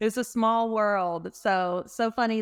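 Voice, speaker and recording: A woman with an American accent and fairly even intonation, on a very clean recording with a silent background. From US South, North Carolina (Winston-Salem). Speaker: podcast host. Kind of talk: casual interview.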